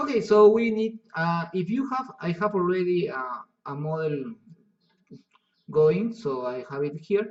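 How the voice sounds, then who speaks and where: In a Spanish accent, a high-pitched man speaks with lively intonation and long, frequent pauses. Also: fairly slow pace. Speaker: software instructor. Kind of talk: tutorial. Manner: halting.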